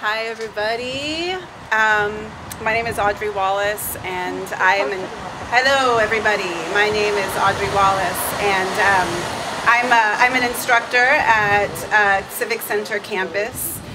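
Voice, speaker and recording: A woman with an American accent speaks at a fairly slow pace, fairly high in pitch with ordinary pitch variation. The recording has audible room echo and noticeable background noise. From San Francisco Bay Area, California. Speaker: college instructor. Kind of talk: protest rally speech. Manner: halting, many fillers.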